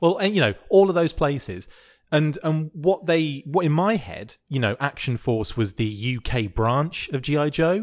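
This man talks in a British accent at a moderate pace, his fairly high voice making very wide pitch swings. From UK, military family that moved around. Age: 30s. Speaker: podcaster. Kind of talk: casual chat.

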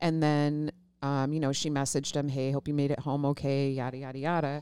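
The voice has a dark, mellow tone and moves at a moderate pace with monotone, flat intonation. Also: woman, very clean recording, silent background. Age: 40s. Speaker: podcast co-host. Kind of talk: casual chat.

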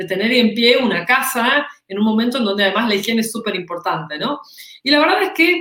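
Lively intonation and a bright, sharp tone mark this voice, delivered with a Rioplatense accent. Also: woman. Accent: Argentine Spanish (rioplatense). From Argentina. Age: 40s. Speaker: employer branding consultant and author. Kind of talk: interview.

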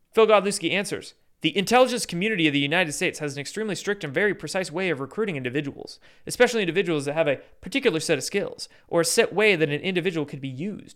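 A man talks very fast in a high voice, animated and with lively intonation, on a very clean recording with a silent background. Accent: Pacific Northwest. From US Pacific Northwest. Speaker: YouTube commentator. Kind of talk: rant-style commentary with clips. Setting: livestream, Sunday night. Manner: animated, sarcastic.

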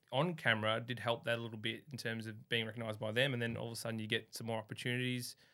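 This man has an Australian accent and a bright, sharp tone at a medium pitch. His intonation is monotone and flat, and the recording is very clean with a silent background. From Melbourne, Australia. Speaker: carpenter, reality TV contestant. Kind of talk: casual interview chat. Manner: halting with fillers.

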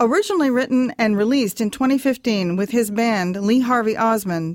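On a very clean recording with a silent background, a woman with a plain, everyday voice speaks at a fairly high pitch with lively intonation. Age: 60s. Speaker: podcast host and photographer. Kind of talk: interview.

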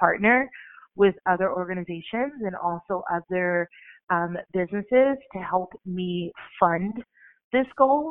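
A woman speaks in a normal speaking voice at a medium pitch, with ordinary pitch variation. Her pace is fairly slow. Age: 20s. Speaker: life coach and author. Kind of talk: interview.

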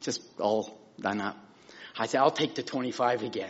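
With lively intonation, a man talks at a very slow pace. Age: 60s. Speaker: minister. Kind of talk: testimony. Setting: church pulpit.

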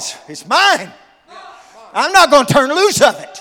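Over noticeable background noise, a man projects a raised voice with an animated tone at a moderate pace. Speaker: preacher. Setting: church with a congregation. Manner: animated, exhortative, emphatic; repeats phrases and punches key words, call-and-response.

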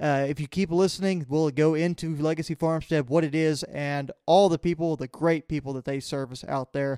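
Fairly high for a man yet dark and mellow in tone, his voice moves at a moderate pace with hardly any pauses and fairly even intonation, in a dry, close sound with no echo on a very clean recording with a silent background. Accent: Texan. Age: 20s. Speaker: podcast host. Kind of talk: podcast interview and intro/outro.

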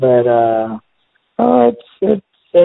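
This is a man talking. The rise and fall of his pitch is ordinary. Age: 50s. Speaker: band drummer. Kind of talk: casual chat. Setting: phone call.

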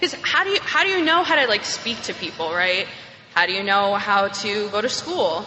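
A woman speaks at a moderate pace with very wide pitch swings over noticeable background noise. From New York. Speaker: AA speaker. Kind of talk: testimony. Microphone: echoey room.

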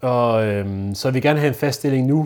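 A man of medium pitch speaks with a dark, mellow tone. The recording is very clean, with a silent background. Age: 20s. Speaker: newly graduated social educator. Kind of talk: interview testimony. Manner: halting.

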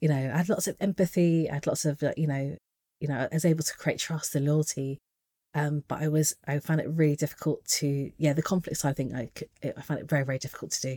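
A woman speaks very fast with a British accent. Her pitch is very deep and low, and her tone is dark and mellow. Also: dry, close sound with no echo. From England. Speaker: leadership coach. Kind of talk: interview. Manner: animated.

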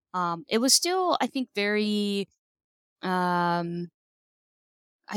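The recording is very clean, with a silent background and a dry, close sound with no echo. A woman speaks at a medium pitch. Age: 30s. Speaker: psychologist. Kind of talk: casual interview.

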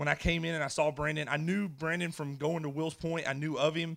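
A man with an American accent and a plain, everyday voice speaks at a fairly quick pace and fairly high pitch, on a very clean recording with a silent background. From Edgewood area, US. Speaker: former law enforcement officer. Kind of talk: testimony. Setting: church stage with audience.

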